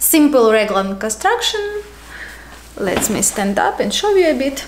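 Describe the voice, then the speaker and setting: A woman with a Ukrainian accent and a high pitch, very wide pitch swings, a fairly slow pace, audible room echo and noticeable background noise. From Ukraine. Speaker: knitting podcaster. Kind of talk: casual show-and-tell vlog. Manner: casual with filler words.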